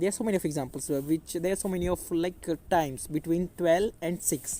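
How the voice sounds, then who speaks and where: A moderate pace with an Indian accent. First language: Hindi. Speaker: English teacher. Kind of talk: tutorial. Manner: halting.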